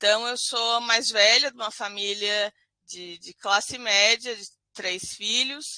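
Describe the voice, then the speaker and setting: At a very slow pace, a woman with a fairly high pitch and a bright, sharp tone speaks with fairly even intonation and big swings in loudness. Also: dry, close sound with no echo. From Brazil, Florianópolis. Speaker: biologist, professor. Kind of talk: lecture. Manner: halting, many fillers and restarts.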